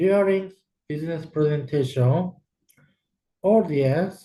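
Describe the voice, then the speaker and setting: Lively intonation from a high-pitched man with a Japanese accent and a dark, mellow tone. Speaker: exchange student. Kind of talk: recorded class presentation.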